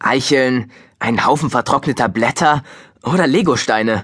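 At a moderate pace and medium pitch, a man with a slightly husky edge and fairly bright tone speaks with ordinary pitch variation on a very clean recording with a silent background.

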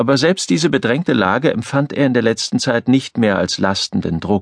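Recorded with dry, close sound and no echo, a man talks in an ordinary speaking voice at a medium pitch and a moderate pace, his intonation lively. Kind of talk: audiobook narration, reading aloud a novel.

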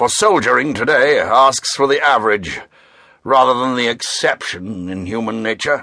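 Over a quiet background, a man with a medium pitch speaks at a moderate pace in a bright, sharp, dramatic tone. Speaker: audiobook narrator. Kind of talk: dramatic audiobook narration with character voices. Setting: studio. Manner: dramatic, measured, shifting between characters; formal, clipped British delivery.

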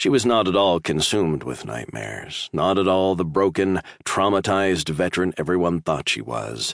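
A man speaks at a moderate pace with a very deep, low pitch and vocal fry. The sound is dry and close, with no echo. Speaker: audiobook narrator. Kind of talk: dramatic audiobook narration of sci-fi military fiction. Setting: studio recording. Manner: tense, suspenseful, building dread, with urgent bursts in the flashback.

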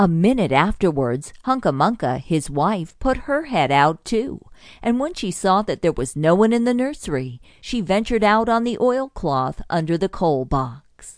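With a gentle tone and very wide pitch swings, a woman speaks at a medium pitch and moderate pace. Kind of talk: children's audiobook reading, scripted storybook narration. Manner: gentle, storytelling pace with clear, measured delivery.

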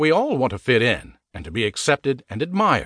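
A man at medium pitch with vocal fry, an upbeat tone, very wide pitch swings and a moderate pace, in a dry, close sound with no echo over a quiet background. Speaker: audiobook narrator. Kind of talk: audiobook narration of a personal finance book, pitched like an infomercial. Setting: studio. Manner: punchy, upbeat, salesman-like delivery with rhetorical questions.

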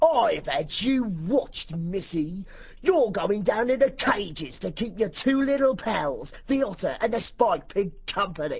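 A put-on character voice, fairly high in pitch, with very wide pitch swings and a fairly slow pace. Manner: sneering, menacing.

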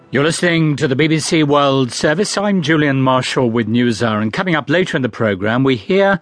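A man with a normal speaking voice and lively intonation. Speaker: radio news presenter. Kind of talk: news reading. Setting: studio. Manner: formal, measured; crisp, steady broadcast delivery.

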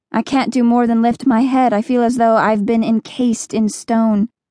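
A woman's plain, everyday voice at fairly high pitch, with dry, close sound and no echo. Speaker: audiobook narrator. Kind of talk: audiobook narration, dramatic first-person reading of a teen dystopian novel. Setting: studio.

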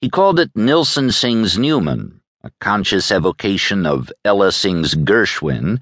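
A man's voice carries vocal fry and swings very widely in pitch. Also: dry, close sound with no echo. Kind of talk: audiobook narration of a magazine feature. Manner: measured, polished and formal, steady literary delivery.

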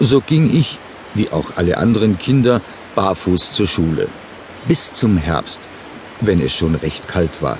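A man with a fairly low pitch and a calm tone speaks at a very slow pace with long, frequent pauses. His pitch swings very widely, and noticeable background noise is present. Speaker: audiobook narrator. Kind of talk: first-person memoir read aloud, recalling a rural childhood. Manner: calm, unhurried storytelling with plain, matter-of-fact detail; gently nostalgic, reflective tone.

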